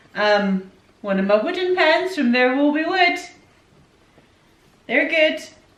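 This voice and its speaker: In a room with audible echo, a woman speaks at a high pitch and fairly slow pace, with very wide pitch swings and long, frequent pauses. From Scotland, raised by English parents. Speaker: YouTuber, stay-at-home mum. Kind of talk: casual Q&A chat. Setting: at home by the Christmas tree.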